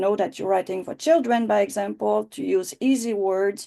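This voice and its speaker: A woman with a Quebec accent speaks at a moderate pace against a quiet background. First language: French. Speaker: writing teacher. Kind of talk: online class. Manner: halting.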